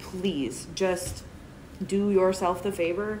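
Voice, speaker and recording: Noticeable background noise sits under the recording. A woman speaks in a fairly low pitch. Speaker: vlogger. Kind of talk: casual vlog chat. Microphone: phone near.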